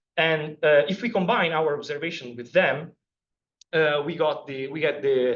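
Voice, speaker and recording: A man is speaking with an Italian accent. His pitch sits fairly high. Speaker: PhD student giving a seminar talk. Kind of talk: scientific seminar lecture. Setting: seminar room with audience. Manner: halting, many fillers.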